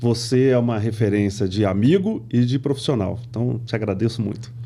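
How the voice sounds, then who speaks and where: The man's fairly even intonation comes through over noticeable background noise. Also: medium pitch for a man, moderate pace. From Brazil, moved often (São Paulo, Pernambuco, Rio de Janeiro). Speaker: company CEO. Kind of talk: podcast interview. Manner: conversational, many fillers.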